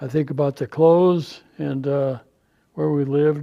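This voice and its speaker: Pitched fairly high for a man, his voice has a dark, mellow tone and moves at a fairly slow pace. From rural interior Alaska, Yukon River village. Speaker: Alaska Native elder. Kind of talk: storytelling talk. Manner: halting, many fillers.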